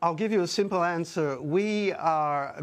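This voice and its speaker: A man with an Australian accent and a high pitch, ordinary pitch variation, and a quiet background. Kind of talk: TV news interview.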